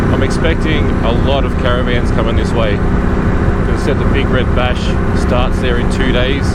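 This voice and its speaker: Noticeable background noise sits under talking delivered at a moderate pace. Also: man. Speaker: adventure motorcyclist. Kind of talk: casual talk to camera. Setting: outdoors.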